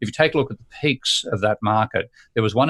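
Speaking at a moderate pace and medium pitch, a man shows ordinary pitch variation on a very clean recording with a silent background. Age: 60s. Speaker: economics professor. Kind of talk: casual chat. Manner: halting.

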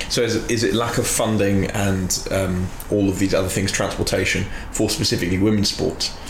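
A man talks at a fairly quick pace in a flat monotone. Noticeable noise sits in the background. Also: fairly low pitch for a man, very even loudness. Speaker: podcast host. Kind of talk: casual chat.

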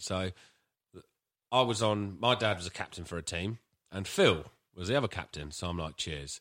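A man with a British accent speaks at a moderate pace in a very deep, low voice, with ordinary pitch variation and long, frequent pauses, in a very clean recording with a silent background. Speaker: podcast co-host. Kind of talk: casual chat.

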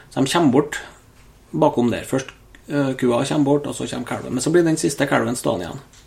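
Fairly quick male speech with ordinary pitch variation, amid noticeable background noise. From Norway, Trøndelag (Steinkjer area). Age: 30s. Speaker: hunter and ballistics enthusiast. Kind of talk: casual chat.

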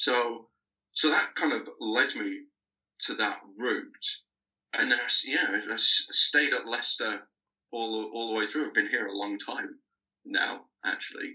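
With a Lancashire accent, a man speaks fairly slowly, leaving long, frequent pauses. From northern England, Lancaster. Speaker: archaeology PhD student. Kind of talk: casual interview.

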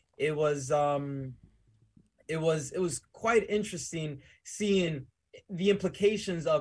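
Here a man uses an ordinary speaking voice at a fairly high pitch with ordinary pitch variation. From Dominican Republic, raised in New Jersey and the Bronx. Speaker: entrepreneur. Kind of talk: casual interview. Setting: studio.

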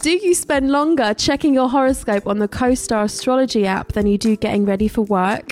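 In a British accent, the speaker goes at a fairly quick pace with lively intonation, very even loudness, and hardly any pauses. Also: woman, fairly high pitch for a woman. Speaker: podcast host. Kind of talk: casual chat. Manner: animated.

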